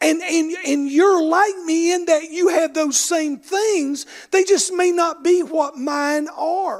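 A man with an Appalachian accent speaks at a very slow pace. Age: 60s. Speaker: bishop. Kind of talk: sermon. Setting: church.

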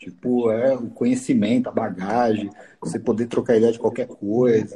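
This man has a medium pitch, a dark, mellow tone and fairly even intonation. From São Paulo, East Zone (Brazil). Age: 40s. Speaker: businessman, former company president. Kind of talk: casual chat.

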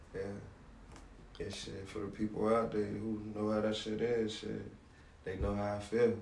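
The speaker has an American accent and a monotone, flat intonation. The pace is moderate with long, frequent pauses, and room echo is audible. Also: man, fairly low pitch for a man. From Savannah, Georgia (US South). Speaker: rapper. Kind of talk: interview.

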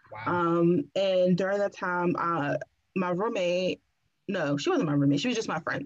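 In an ordinary speaking voice, a woman with an American accent talks at a fairly slow pace and a fairly low pitch. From Washington, DC. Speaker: podcast guest, natural hair influencer. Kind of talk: casual chat.

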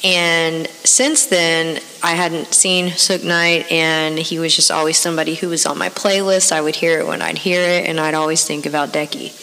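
With hardly any pauses, the speech runs at a moderate pace amid audible room echo and noticeable background noise. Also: woman, fairly low pitch for a woman. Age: 30s. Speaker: podcast host. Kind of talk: casual monologue. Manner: animated.

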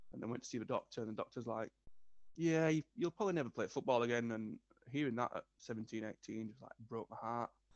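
Speaking at a fairly quick pace with a Yorkshire accent, a man uses a medium pitch and ordinary pitch variation, the sound dry and close with no echo. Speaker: guest, business owner and musician. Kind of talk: casual interview chat.

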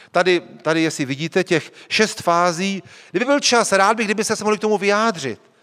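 In a bright, sharp, animated tone, the voice runs at a fairly quick pace with ordinary pitch variation and very even loudness. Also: man, high pitch for a man. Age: 40s. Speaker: pastor. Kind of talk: sermon.

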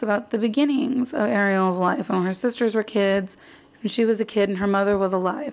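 An unremarkable speaking voice from a woman with an American accent, fairly high in pitch, at a fairly quick pace with ordinary pitch variation. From Arizona. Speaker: podcast host. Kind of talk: casual chat.

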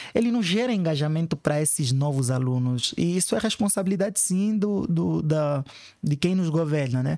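Lively intonation marks this man's speech. He has an ordinary speaking voice, a fairly high pitch and a moderate pace. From Africa (Angola / São Tomé and Príncipe). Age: 30s. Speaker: educational activist. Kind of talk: interview.

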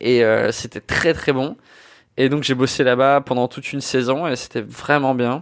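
An ordinary speaking voice from a man, medium in pitch, at a fairly slow pace with fairly even intonation, in a quiet setting. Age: 20s. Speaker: podcast host, bartender. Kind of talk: casual chat.

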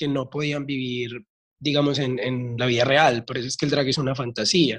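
Keeping a moderate pace, a man speaks at a fairly high pitch in a flat monotone. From Colombia, Medellín. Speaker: drag artist and makeup teacher. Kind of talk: casual interview.

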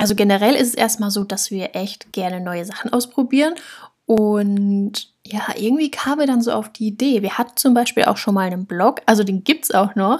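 Her voice somewhat breathy, a woman talks at a moderate pace and a fairly high pitch with ordinary pitch variation. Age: 20s. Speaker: podcast co-host, university student. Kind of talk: casual chat.

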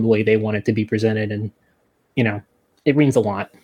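This is a plain, everyday voice with an American accent and fairly even intonation. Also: man. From New Jersey. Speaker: archaeology PhD student and author. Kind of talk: podcast interview.

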